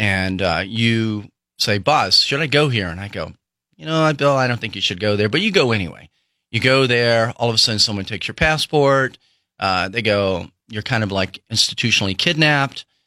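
This is a plain, everyday voice, a man's at medium pitch. His intonation is lively. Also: very clean recording, silent background. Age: 60s. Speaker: former CIA officer, founder of child-rescue nonprofit. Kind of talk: interview.

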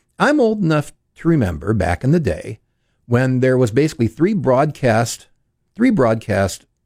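A somewhat breathy man's voice with very wide pitch swings, in a very clean recording with a silent background and a dry, close sound with no echo. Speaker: fill-in radio host. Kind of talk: live talk radio show. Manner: fluent, conversational, formal.

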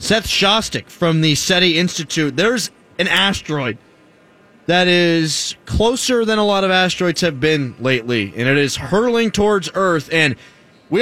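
A man talks in a raised, projected voice, his pitch swinging very widely. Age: 20s. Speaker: sports radio host. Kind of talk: casual chat.

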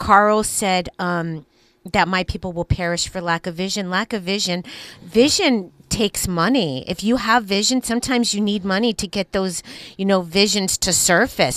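A woman uses a plain, everyday voice at a medium pitch and moderate pace, with ordinary pitch variation and a dry, close sound with no echo. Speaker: radio co-host. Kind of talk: casual banter on talk radio.

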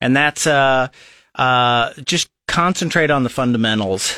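A man with a Midwestern American accent speaks fairly slowly at a medium pitch, with ordinary pitch variation and a bright, sharp tone. The recording is very clean, with a silent background. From Nebraska (Lincoln). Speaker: local party chairman. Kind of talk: radio interview. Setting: radio studio. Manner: halting, many fillers.

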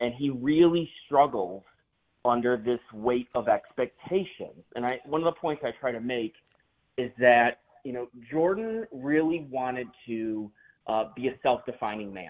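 A man with a plain, everyday voice and an American accent, medium in pitch, at a fairly slow pace, with ordinary pitch variation and big swings in loudness. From Chicago suburbs. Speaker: author. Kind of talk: interview.

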